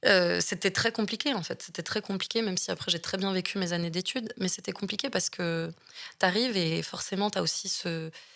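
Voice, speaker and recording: A woman talks at a fairly quick pace with a medium pitch. Her pitch variation is ordinary, and there is vocal fry. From Marseille, southern France. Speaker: actress and film director. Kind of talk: interview conversation. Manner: halting, many hesitations.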